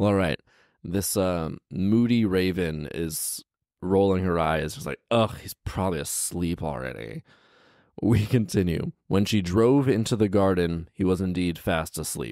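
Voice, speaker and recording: Very deep and low with a dark, mellow tone, a man's voice carries lively intonation in a dry sound with no echo and a quiet background. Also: fairly slow pace. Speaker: storyteller, commentator. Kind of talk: story reading with comic commentary. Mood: playful, mock exasperated. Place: home room. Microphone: handheld.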